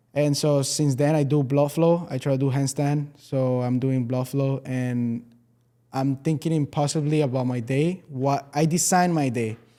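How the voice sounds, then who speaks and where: On a very clean recording with a silent background, a man speaks in a fairly high, dark, mellow voice with fairly even intonation. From Venezuela. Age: 20s. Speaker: entrepreneur. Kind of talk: podcast interview.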